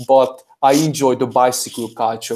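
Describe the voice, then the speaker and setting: A man with a Hungarian accent, medium in pitch, with a dark, mellow tone. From Hungary. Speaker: crypto vlogger and IT worker. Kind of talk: casual interview chat.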